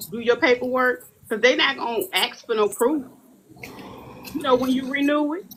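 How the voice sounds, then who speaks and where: A woman speaks in a high pitch at a moderate pace with ordinary pitch variation. Her speech has long, frequent pauses. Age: 40s. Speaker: community activist. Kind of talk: casual chat. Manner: animated.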